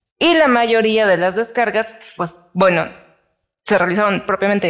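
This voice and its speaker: A woman's voice with a Mexican accent. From Mexico. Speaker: podcast co-host. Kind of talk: casual chat.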